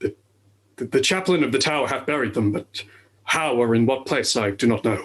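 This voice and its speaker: In a put-on character voice, a man speaks fairly quickly at a medium pitch. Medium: stage play. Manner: hesitant, stammering.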